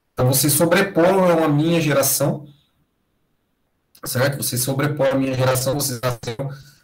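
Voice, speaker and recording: Audible room echo surrounds a man whose somewhat breathy voice keeps a moderate pace. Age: 30s. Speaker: university lecturer. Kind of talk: lecture.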